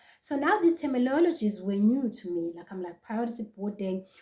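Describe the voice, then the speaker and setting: Dark and mellow in tone, a woman's voice comes across as somewhat breathy. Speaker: vlogger. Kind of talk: casual vlog talk to camera.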